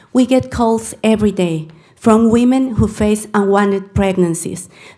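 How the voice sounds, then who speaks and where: A woman with a Mexican accent, a dark, mellow tone and a medium pitch, at a fairly slow pace with ordinary pitch variation and audible room echo. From Mexico. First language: Spanish. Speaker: public commenter, crisis pregnancy center director. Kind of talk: reading aloud a prepared letter; public comment at council meeting. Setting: city council meeting.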